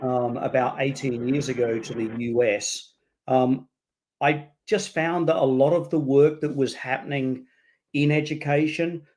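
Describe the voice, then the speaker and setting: A man with an Australian accent speaks in a medium pitch at a fairly slow pace, his intonation fairly even. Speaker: education leader and author. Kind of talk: interview.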